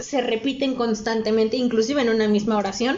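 A woman with a fairly high pitch speaks in a room with audible echo. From Mexico. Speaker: podcast host. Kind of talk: casual chat.

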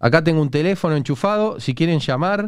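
A man with a Rioplatense accent talks at a fairly quick pace in a fairly high voice, animated in tone and lively in intonation. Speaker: livestream podcast host. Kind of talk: casual chat.

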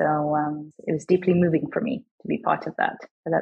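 Somewhat breathy, a woman's voice sits fairly low in pitch and moves with ordinary variation. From Australia. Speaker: venture capital investor. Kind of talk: interview.

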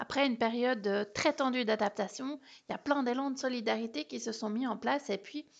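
A woman uses an ordinary speaking voice at a fairly high pitch. She keeps a moderate pace with ordinary pitch variation. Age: 30s. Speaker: podcast host and holistic coach. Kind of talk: solo podcast monologue.

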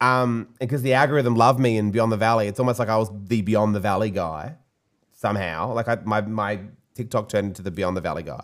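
This man has a fairly low pitch and an Australian accent, with ordinary pitch variation. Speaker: podcast host and DJ. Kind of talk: casual chat. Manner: casual, swearing.

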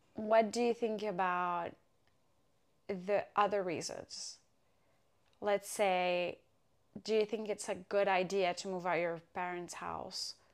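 Over a silent background in a very clean recording, a woman speaks very slowly at a medium pitch, her intonation flat and monotone, with long, frequent pauses. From Morocco. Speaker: podcast host. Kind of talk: casual chat.

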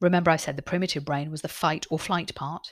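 With a British accent, a woman speaks in a calm, soothing tone at a fairly low pitch, on a very clean recording with a silent background. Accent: British English, noticeable. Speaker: podcast host and author reading own book. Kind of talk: reading aloud from own book with casual asides. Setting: home desk with laptop and head mic. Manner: unedited, natural with fillers.

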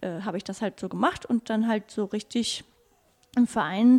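A woman's fairly high-pitched voice in a dark, mellow tone, moderate pace and ordinary pitch variation. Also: very clean recording, silent background. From Canary Islands (La Gomera), German parents. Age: 30s. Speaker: animal shelter volunteer. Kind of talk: interview. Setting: animal shelter surrounded by cats.

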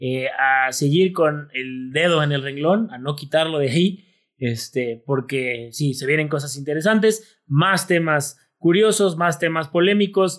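With an ordinary speaking voice, a man talks at a fairly high pitch and a fairly slow pace, with ordinary pitch variation and hardly any pauses, on a very clean recording with a silent background. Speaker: history podcast co-host. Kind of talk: casual chat. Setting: beach.

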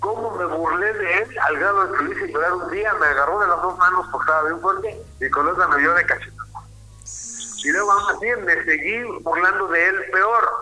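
Over noticeable background noise, a man with a high pitch talks at a moderate pace in a raised, projected voice. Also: ordinary pitch variation. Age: 60s. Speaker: therapist. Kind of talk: radio interview.

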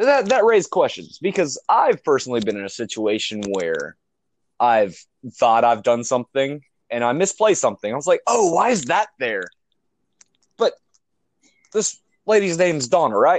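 At a moderate pace and fairly high pitch, a man speaks with very wide pitch swings and long, frequent pauses, in a dry, close sound with no echo. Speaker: paranormal investigator team member. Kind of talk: casual chat.

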